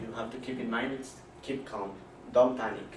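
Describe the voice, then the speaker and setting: Noticeable background noise and audible room echo both surround a man as he speaks. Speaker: student speaker. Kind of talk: class presentation. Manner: halting.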